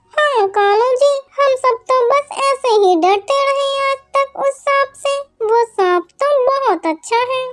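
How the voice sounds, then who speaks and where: A cartoonish character voice, female-sounding and extremely high in pitch, at a fairly slow pace. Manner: whiny, scheming.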